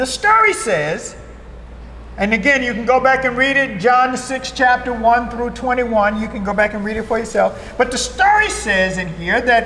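A man's raised, projected voice at an extremely high pitch, with an American accent, ordinary pitch variation and noticeable background noise. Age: 60s. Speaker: pastor. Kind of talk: sermon. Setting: church.

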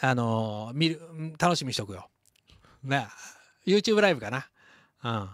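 A man with a Kansai accent speaks at a fairly slow pace, with very wide pitch swings and long, frequent pauses. The sound is dry with no echo, against a quiet background. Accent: Kansai Japanese. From Shodoshima, Kagawa, Japan; Kagawa, Japan. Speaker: leather craftsman hosting livestream. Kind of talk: casual livestream chat. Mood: cheerful, celebratory. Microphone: handheld.

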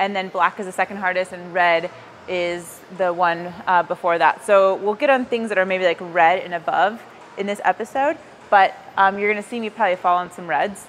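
Moderate pace and fairly even intonation from a woman, with light background noise. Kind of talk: casual vlog explanation to camera. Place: gym. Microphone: lapel.

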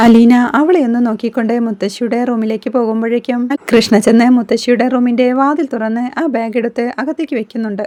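With a dark, mellow tone and fairly even intonation, a woman talks at a fairly high pitch and a fairly quick pace.

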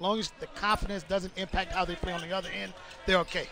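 A man speaks at a very fast pace with ordinary pitch variation. The sound is dry with no echo, and there is noticeable background noise. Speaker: color commentator. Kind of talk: sports commentary. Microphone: headset.

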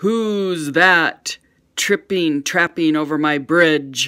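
A bellowing, put-on character voice at middle pitch, delivered at a very slow pace. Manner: roaring, menacing.

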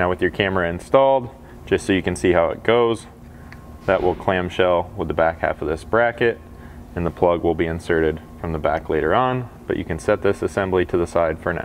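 A man at a very deep, low pitch and a fairly quick pace, with ordinary pitch variation and music in the background. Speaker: installer demonstrating a product. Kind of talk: tutorial. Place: garage.

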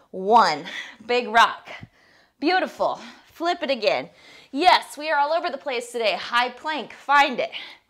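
A woman with a high pitch speaks at a fairly slow pace, with long, frequent pauses. Her intonation is lively, her tone energetic, and the background quiet. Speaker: fitness instructor. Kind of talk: guided workout class. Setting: home video. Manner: encouraging, energetic. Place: home room.

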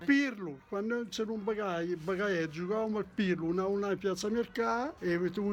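A man with a Lombard accent, high-pitched for a man, with ordinary pitch variation over light background noise. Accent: Brianza dialect. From Brianza, Lombardy. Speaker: local dialect speaker. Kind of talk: casual interview answer. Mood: jovial, reminiscing. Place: home room. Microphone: phone near.

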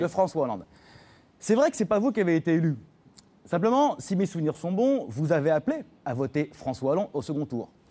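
A man's high voice, dark and mellow in tone, fairly quick yet with long, frequent pauses and very wide pitch swings. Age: young. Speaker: politician, former minister. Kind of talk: televised debate. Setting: TV studio. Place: studio. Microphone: lapel.

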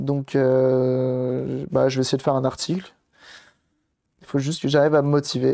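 A man's medium-pitched voice with a dark, mellow tone, monotone and flat, at a fairly slow pace with long, frequent pauses. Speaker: repair streamer. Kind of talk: live stream tutorial, casual repair demo. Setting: live stream to chat. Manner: casual, hesitant with fillers.

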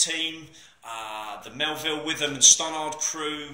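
A man talks at a fairly slow pace with ordinary pitch variation, and there is audible room echo. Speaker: personal trainer. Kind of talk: casual vlog chat. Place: gym. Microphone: phone near.

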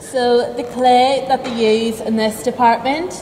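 At a fairly slow pace, a woman talks with a fairly high pitch, fairly even intonation, and a slightly mellow tone. Room echo is audible.

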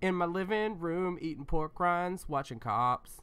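The voice is raised and projected, with a bright, sharp tone and ordinary pitch variation. The recording is very clean, with a silent background. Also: man. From US South. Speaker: comedy advice podcast host. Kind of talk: casual comedic chat.

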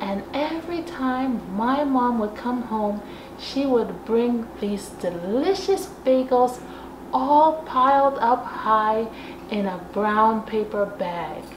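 A high-pitched woman at a very slow pace, with noticeable background noise. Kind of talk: casual vlog chat. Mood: warm, nostalgic. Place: kitchen.

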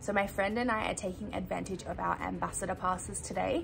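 A woman at a fairly quick pace over light background noise. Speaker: travel vlogger. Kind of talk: casual vlog chat. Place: home room. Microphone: phone near.

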